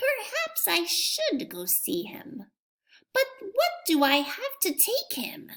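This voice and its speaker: A woman puts on a gruff character voice at an extremely high pitch. She speaks very slowly, her pitch swinging very widely. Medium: read story. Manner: gruff, muttering.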